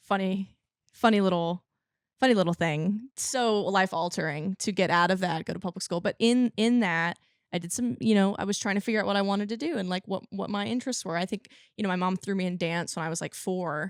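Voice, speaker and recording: A woman's fairly quick speech with a slight country accent, dry and close with no echo. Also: medium pitch for a woman, ordinary pitch variation, very clean recording, silent background. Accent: slight country twang. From California. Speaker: country singer. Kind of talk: interview.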